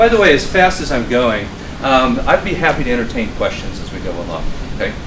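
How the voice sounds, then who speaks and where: A man talks at a very fast pace with very wide pitch swings. Noticeable background noise and audible room echo fill the recording. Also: fairly high pitch for a man. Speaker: finance professor. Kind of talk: lecture.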